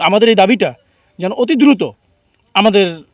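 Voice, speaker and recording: This man's voice sits high in pitch and comes across dry and close, with no echo. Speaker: local resident protester. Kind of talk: protest speech to reporters.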